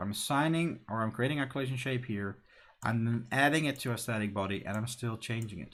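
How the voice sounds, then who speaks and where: This very clean recording has a silent background. A man with a non-native accent talks at a fairly quick pace with ordinary pitch variation. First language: not English. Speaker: game developer streamer. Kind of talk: live coding stream. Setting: live stream. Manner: casual, thinking aloud.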